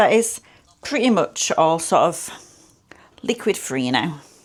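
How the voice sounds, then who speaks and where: In a British accent, a woman speaks at a medium pitch. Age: 30s. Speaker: food vlogger. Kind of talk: cooking tutorial. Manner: casual, chatty.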